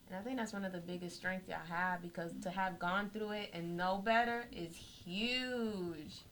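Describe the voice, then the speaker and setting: A woman with an American accent and a plain, everyday voice speaks at medium pitch and a moderate pace, with ordinary pitch variation and hardly any pauses. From Florida. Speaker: radio co-host. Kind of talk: casual radio interview.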